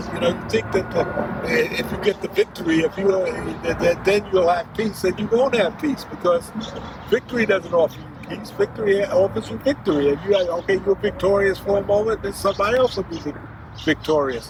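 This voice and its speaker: Over noticeable background noise, a man with a high-pitched voice speaks fairly quickly with lively intonation. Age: 80s+. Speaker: grandfather sharing life wisdom. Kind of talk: casual interview. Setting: outdoors in a park. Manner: halting.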